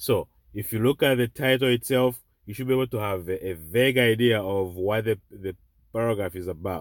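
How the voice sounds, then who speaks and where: In a very clean recording with a silent background and a dry, close sound free of echo, a man with a medium pitch talks at a moderate pace with lively intonation. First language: not English. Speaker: online tutor. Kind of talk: tutorial. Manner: repetitive, halting.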